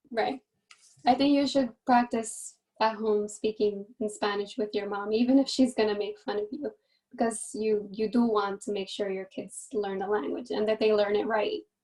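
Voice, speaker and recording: With an American accent, a woman speaks at a fairly high pitch in a dark, mellow tone, keeping her intonation fairly even. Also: moderate pace. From New Jersey, Hudson County. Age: 20s. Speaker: beauty pageant contestant. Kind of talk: panel talk with students.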